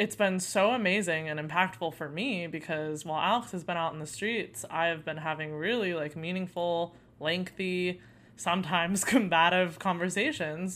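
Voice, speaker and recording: With an American accent, a woman speaks at a moderate pace in a fairly low pitch with ordinary pitch variation. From Arizona. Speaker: podcast co-host. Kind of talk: casual chat. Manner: loud.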